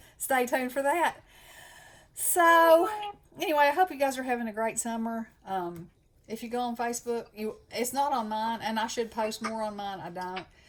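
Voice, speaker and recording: With a Southern US accent, a woman speaks at a moderate pace in a fairly high voice with lively intonation. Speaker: craft channel host. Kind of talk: casual chat. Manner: animated.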